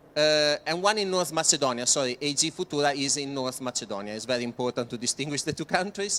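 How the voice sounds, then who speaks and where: Dry and close with no echo, a man rattles along at a very fast pace with hardly any pauses, his fairly high voice bright and sharp in tone with lively intonation. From Italy. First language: Italian. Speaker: project presenter. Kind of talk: presentation. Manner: halting, many fillers.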